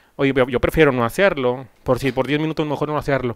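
A man's fairly high-pitched, ordinary speaking voice, with fairly even intonation and a dry sound with no echo. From Mexico, Monclova (Coahuila); Coahuila, Mexico. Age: 30s. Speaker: singer-songwriter interviewer. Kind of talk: casual interview. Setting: at the guest's home. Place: home room. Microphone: handheld.

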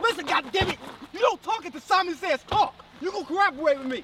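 The voice is extremely high-pitched and the pace very fast. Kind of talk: comic overacting. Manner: loud, excitable, shouting.

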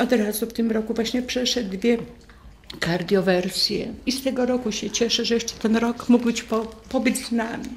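Over light background noise, a woman with a fairly high pitch talks at a moderate pace in a monotone, flat intonation. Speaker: widow of hospice patient. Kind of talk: testimony. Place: home room. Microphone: studio mic.

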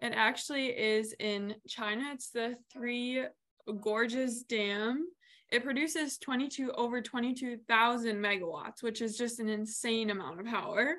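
Against a quiet background, a woman's bright, sharp voice moves with ordinary pitch variation. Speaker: presenter. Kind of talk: lecture. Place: home room. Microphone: video call.

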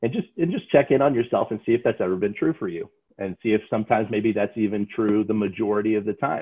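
Over a quiet background, a man's voice shows ordinary variation in pitch. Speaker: sales trainer. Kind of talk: lecture. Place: home room. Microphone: video call.

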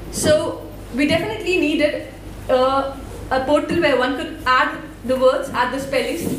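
A woman with an Indian accent speaks at a high pitch, with audible room echo and light background noise. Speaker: student developer and open source volunteer. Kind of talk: conference talk. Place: hall.

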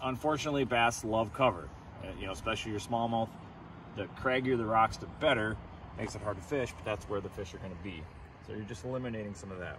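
Speech comes at a very fast pace with ordinary pitch variation. The sound is dry with no echo, though background noise is noticeable. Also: man, fairly low pitch for a man. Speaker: fishing show host. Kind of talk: tutorial. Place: boat.

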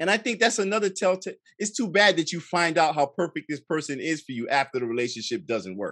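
A man with a high pitch races along at a very fast pace with very wide pitch swings and hardly any pauses. The sound is dry with no echo over a quiet background. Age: 40s. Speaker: film director, guest; interview guest. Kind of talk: casual chat; interview answer. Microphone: studio mic.

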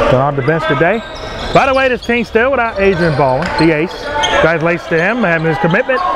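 The speech moves at a fairly quick pace, with a dry sound with no echo and loud background noise behind it. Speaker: live basketball play-by-play commentator. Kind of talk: live sports commentary. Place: hall.

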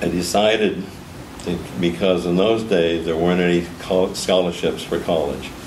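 The speech moves at a moderate pace. There is light background noise and audible room echo. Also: man. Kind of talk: interview answer. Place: meeting room.

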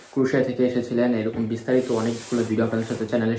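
A man in monotone, flat intonation, with audible room echo and noticeable background noise. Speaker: YouTuber. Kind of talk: casual interview.

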